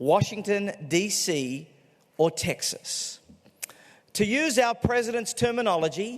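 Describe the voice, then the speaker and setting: A man in an Australian accent, high-pitched and fairly slow, with very wide pitch swings and long, frequent pauses. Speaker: political commentator and author. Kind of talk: keynote speech. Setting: stage with audience.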